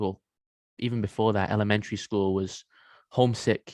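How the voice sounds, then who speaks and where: A man with a fairly low pitch and monotone, flat intonation is heard in a dry, close sound with no echo on a very clean recording with a silent background. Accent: English. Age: 20s. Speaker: men's coach and former pro athlete. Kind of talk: podcast interview.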